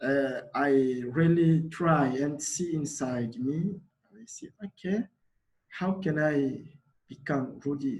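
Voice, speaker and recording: A somewhat breathy man's voice, fairly high in pitch, moves with ordinary pitch variation. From DR Congo, Kinshasa. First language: Lingala. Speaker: refugee community organizer. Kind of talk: panel talk. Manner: halting.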